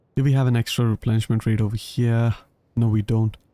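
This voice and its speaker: The sound is dry and close with no echo as a voice with a dark, mellow tone speaks in a monotone, flat intonation with an Indian accent. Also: man. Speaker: gaming streamer. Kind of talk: live gameplay commentary. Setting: live stream. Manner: casual, conversational.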